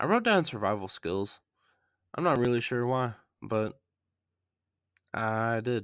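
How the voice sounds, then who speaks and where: With an American accent, a man speaks at a medium pitch with ordinary pitch variation and a fairly slow pace. Long, frequent pauses break up his speech on a very clean recording with a silent background. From US South. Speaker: podcast host, movie reviewer. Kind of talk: movie review podcast. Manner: casual, with frequent fillers.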